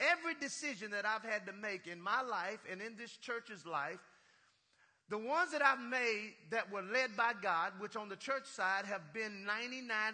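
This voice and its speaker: This man projects a raised, high-pitched voice with a bright, sharp, animated tone. His intonation is lively while his pace stays fairly slow. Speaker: pastor. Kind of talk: sermon, preacher in full flow with call-and-response. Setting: church with congregation. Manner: animated, rhythmic, exhorting the congregation with punchlines.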